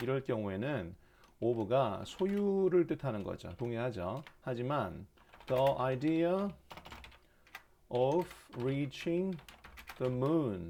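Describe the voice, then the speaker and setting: Very slow pace with long, frequent pauses. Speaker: English teacher. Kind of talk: lecture. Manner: speeds up when excited.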